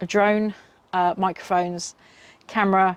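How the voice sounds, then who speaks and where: Speaking at a fairly slow pace, a woman with a British accent uses a fairly low pitch and monotone, flat intonation. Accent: UK. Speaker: car camping vlogger. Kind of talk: product review. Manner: casual, many filler ums.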